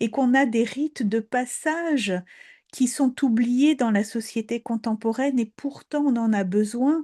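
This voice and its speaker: A woman with a Polish accent speaks at a fairly slow pace with a dark, mellow tone, high pitch, ordinary pitch variation, and very even loudness, the sound dry and close with no echo and a quiet background. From Poland. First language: Polish (speaking French). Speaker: storyteller. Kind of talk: talk on fairy tales. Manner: hesitant, repeats words.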